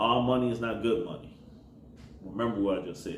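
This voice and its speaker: A man speaks with audible room echo. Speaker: rideshare driver and gig economy vlogger. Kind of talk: casual advice monologue. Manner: mumbling.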